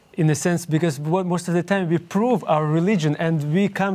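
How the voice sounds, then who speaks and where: Speaking at a fairly quick pace, a man with a high pitch uses ordinary pitch variation. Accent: Ukrainian. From Ukraine. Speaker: young adult Bible study leader. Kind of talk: interview. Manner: halting.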